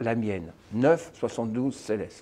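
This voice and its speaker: Ordinary pitch variation marks a man's fairly slow delivery. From France. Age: 60s. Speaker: therapist. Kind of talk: self-presentation to camera. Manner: halting, with frequent hesitations.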